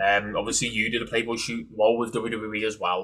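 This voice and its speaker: In a British accent, a man speaks fairly quickly with a bright, sharp tone. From UK. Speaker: podcast host. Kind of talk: interview.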